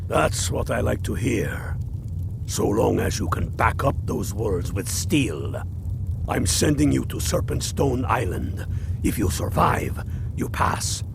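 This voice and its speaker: A man does a put-on character voice with a very deep, low pitch. He goes at a fairly slow pace over loud background noise. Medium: machinima. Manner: blunt, gruff.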